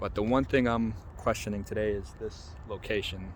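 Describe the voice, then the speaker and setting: The man's voice is fairly low in pitch, at a moderate pace. Noticeable background noise is present. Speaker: vlogger and freelance photographer. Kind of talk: casual vlog. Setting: outdoors in a park. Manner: hesitant, with filler words.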